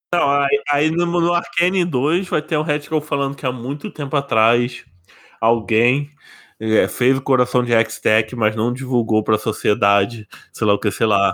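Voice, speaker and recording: At a moderate pace and medium pitch, a man speaks with very even loudness and ordinary pitch variation on a very clean recording with a silent background. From Brazil, interior. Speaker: podcast host. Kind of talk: casual chat.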